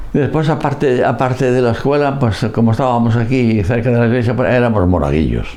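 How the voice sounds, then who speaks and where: A man speaks fairly quickly at a medium pitch with ordinary pitch variation, very even loudness and hardly any pauses. Audible room echo and noticeable background noise surround him. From Galicia, Spain. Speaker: priest. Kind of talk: oral history interview. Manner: halting.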